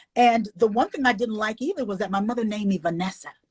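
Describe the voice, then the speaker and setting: Somewhat breathy and animated, a woman with a fairly high pitch and ordinary pitch variation is heard in a dry, close sound with no echo. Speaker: author and illustrator. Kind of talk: interview.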